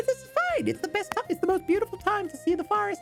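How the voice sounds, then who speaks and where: A squeaky, put-on character voice races along at a very fast pace over music in the background. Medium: actual play. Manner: hearty, casual.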